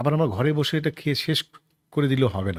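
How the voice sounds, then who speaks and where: A man speaks at a medium pitch, somewhat breathy. The recording is very clean with a silent background. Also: dry, close sound with no echo. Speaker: stage actor. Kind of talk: interview.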